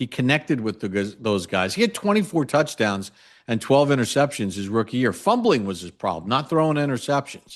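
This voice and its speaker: Against a quiet background, a man speaks in a normal speaking voice with a medium pitch at a moderate pace. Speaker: radio play-by-play announcer. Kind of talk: sports analysis talk on podcast.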